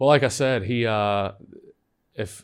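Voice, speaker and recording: A man with a normal speaking voice at a moderate pace, fairly even in intonation, in a very clean recording with a silent background. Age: 30s. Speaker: podcast producer. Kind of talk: casual chat.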